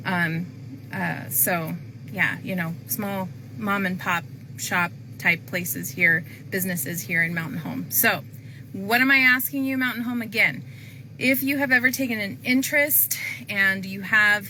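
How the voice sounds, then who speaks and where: A woman speaks at a fairly slow pace with long, frequent pauses and a medium pitch. Her pitch swings very widely, and room echo is audible. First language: not English. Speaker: planning and zoning commissioner. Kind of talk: public appeal to viewers. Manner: casual with many fillers.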